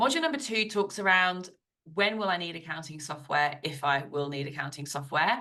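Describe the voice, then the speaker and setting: Fairly quick and lively in intonation, a woman with a British accent speaks in a fairly low voice with a bright, sharp tone. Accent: British, fully retained. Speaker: business coach and accountant. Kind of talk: podcast interview. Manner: animated.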